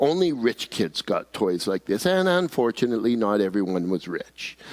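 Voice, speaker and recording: At a moderate pace, a man of medium pitch speaks with very wide pitch swings, in a very clean recording with a silent background and a dry, close sound with no echo. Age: 70s. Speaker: pastor. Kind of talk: sermon.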